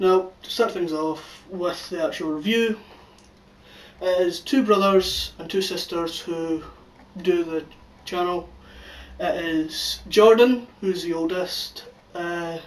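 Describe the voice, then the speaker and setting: Pitched high for a man, this speaker uses fairly even intonation at a very slow pace with long, frequent pauses. Noticeable background noise runs underneath. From Scotland. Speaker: YouTube channel reviewer. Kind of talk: casual video review.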